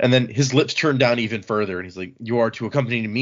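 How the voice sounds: Fairly even intonation in a natural reading voice.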